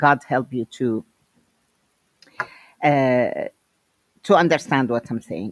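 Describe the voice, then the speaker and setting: A woman with a very deep, low voice speaks at a very slow pace with long, frequent pauses, lively intonation and big swings in loudness, recorded dry and close with no echo. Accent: strong Syrian. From Syria. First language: Arabic. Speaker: educator and guest speaker. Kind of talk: lecture.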